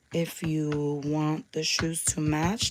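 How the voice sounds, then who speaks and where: A woman's very deep, low voice at a very slow pace, with noticeable background noise. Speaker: crafter and craft shop host. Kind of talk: live craft tutorial. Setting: YouTube livestream. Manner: casual, hesitant with fillers.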